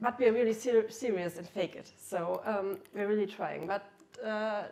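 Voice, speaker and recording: A woman with a German accent speaks at a moderate pace in a medium pitch with fairly even intonation. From Germany (Cologne). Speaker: keynote speaker, researcher. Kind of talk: conference talk.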